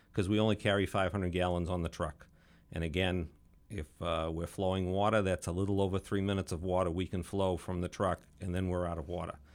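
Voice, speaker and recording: On a very clean recording with a silent background, a man with an American accent speaks very fast in a very deep, low pitch with monotone, flat intonation. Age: 50s. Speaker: fire chief. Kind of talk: interview. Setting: studio.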